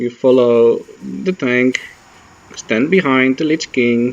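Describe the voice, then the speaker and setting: A man with a non-native accent speaks at a very slow pace. His pitch is medium and his intonation fairly even. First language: not English. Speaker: gaming tutorial maker. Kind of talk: tutorial voice-over.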